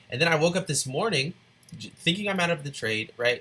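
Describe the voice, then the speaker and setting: A man is speaking. His tone is bright and sharp. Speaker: forex trading educator. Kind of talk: tutorial. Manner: fast; casual.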